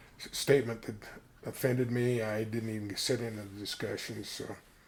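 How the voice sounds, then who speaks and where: This man has a fairly low pitch and a monotone, flat intonation. He talks at a moderate pace. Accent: American. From Colorado, US. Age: 70s. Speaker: interviewee telling life story. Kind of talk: oral history interview. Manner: halting, many fillers.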